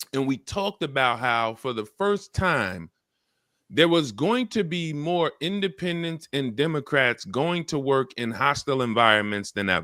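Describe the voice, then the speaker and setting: A man with a fairly high, bright, sharp voice speaks at a moderate pace with very wide pitch swings, the sound dry and close with no echo on a very clean recording with a silent background. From Louisiana. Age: 40s. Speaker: news talk show co-host. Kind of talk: live news discussion show.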